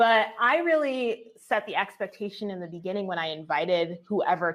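A woman with a plain, everyday voice, medium-pitched, with an American accent, ordinary pitch variation and a fairly quick pace. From New Jersey. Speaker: agency owner and business coach. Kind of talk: casual interview chat.

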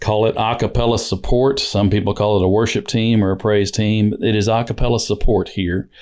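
A man with an American accent and a normal speaking voice at medium pitch, on a very clean recording with a silent background. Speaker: church worship leader. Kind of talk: interview conversation.

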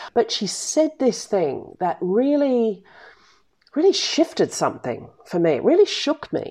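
Recorded very cleanly over a silent background, the speaker uses an Australian accent, a fairly slow pace and very wide pitch swings. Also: woman, high pitch for a woman. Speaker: business coach and podcast host. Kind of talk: solo podcast monologue. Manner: direct, blunt.

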